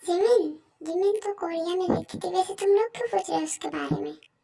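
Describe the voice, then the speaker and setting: A woman's squeaky, put-on character voice at a fairly quick pace. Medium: read story.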